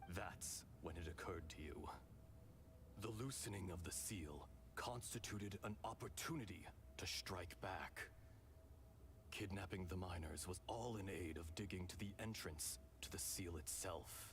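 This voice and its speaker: A man's put-on character voice, very deep and low in pitch, at a moderate pace with long, frequent pauses over clear background noise. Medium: video game. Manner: calm, measured, wise.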